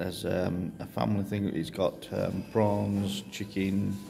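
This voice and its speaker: A man with a fairly low pitch and vocal fry speaks at a very slow pace. Light background noise can be heard. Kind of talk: casual vlog chat. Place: cafe. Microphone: phone near.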